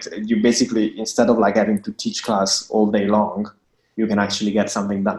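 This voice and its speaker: A man with an Italian accent and a fairly low-pitched voice. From Italy. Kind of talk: interview. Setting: remote call from home.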